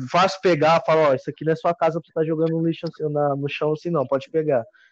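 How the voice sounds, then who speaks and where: This is a man speaking. His pitch is fairly high. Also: quiet background. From Minas Gerais, Brazil. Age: 20s. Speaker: hiker. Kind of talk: casual chat.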